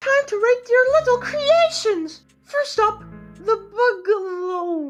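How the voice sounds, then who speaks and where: A squeaky, cartoonish character voice at an extremely high pitch talks at a fairly slow pace, with faint music in the background. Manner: chirpy, stammering.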